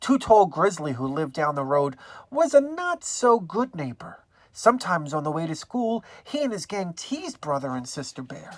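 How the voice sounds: A woman at low pitch and moderate pace, with big pitch swings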